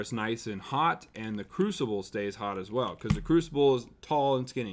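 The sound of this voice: The man speaks at a fairly slow pace. His pitch varies in an ordinary way.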